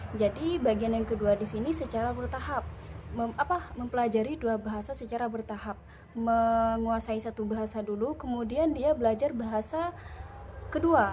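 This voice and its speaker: Her dark, mellow tone sits at a fairly high pitch for a woman, and she talks at a moderate pace with ordinary pitch variation. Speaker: university student presenter. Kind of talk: class presentation. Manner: hesitant, frequent fillers.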